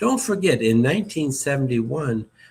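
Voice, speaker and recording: Somewhat breathy, a man with an American accent speaks with very wide pitch swings. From United States. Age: 70s. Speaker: retired diplomat. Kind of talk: interview. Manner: halting, many fillers.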